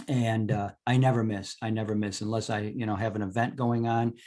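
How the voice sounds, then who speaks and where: An ordinary speaking voice from a man with an American accent, fairly low in pitch and fairly quick in pace, on a very clean recording with a silent background. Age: 60s. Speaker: naturopath and supplement seller. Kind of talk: talk to a club meeting. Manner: casual, with many fillers and restarts.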